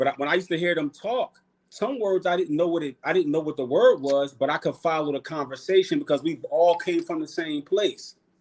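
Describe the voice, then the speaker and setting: Speaking at a fairly quick pace, a high-pitched man with a Philadelphia accent uses ordinary pitch variation. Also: hardly any pauses. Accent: northern US (Philly). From Philadelphia, US. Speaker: podcast guest, cultural activist. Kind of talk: casual chat. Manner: animated.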